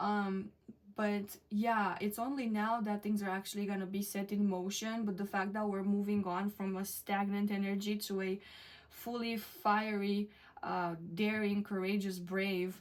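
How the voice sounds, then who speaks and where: In a non-native accent, a woman speaks at a medium pitch and a fairly slow pace with monotone, flat intonation. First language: not English. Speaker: tarot reader. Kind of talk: tarot reading to camera. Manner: hesitant, many fillers.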